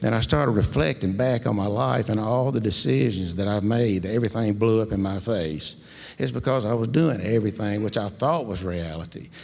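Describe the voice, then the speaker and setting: A man talks at a fairly quick pace and a fairly low pitch. His intonation is lively, with vocal fry. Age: 60s. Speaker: congregation member. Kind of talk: testimony.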